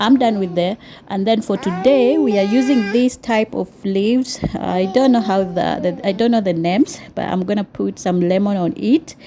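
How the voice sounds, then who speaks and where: In a Kenyan accent, a speaker with a dark, mellow tone talks at a moderate pace with hardly any pauses. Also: woman, medium pitch for a woman, ordinary pitch variation. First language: Swahili. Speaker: cooking vlogger. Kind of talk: cooking tutorial. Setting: home kitchen. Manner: hesitant, many fillers.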